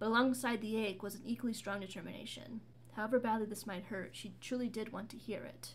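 Intonation is fairly even. The words are read aloud in a natural voice.

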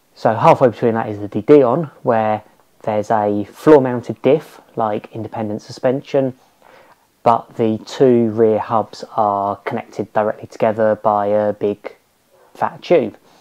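A man speaks at a fairly slow pace in a dark, mellow tone, his intonation fairly even over a quiet background. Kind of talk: casual explanatory vlog chat. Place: garage.

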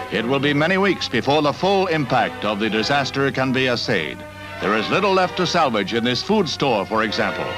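A man's voice with very wide pitch swings at a fairly quick pace, clear music in the background. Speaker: newsreel narrator. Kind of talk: vintage newsreel narration. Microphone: old recording.

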